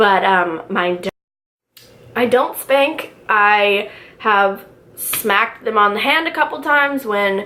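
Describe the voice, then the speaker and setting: Loud and bright with a sharp tone, a woman speaks at a very slow pace with long, frequent pauses and lively intonation. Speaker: stay-at-home mom vlogger. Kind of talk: casual vlog chat. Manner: casual, filler-heavy.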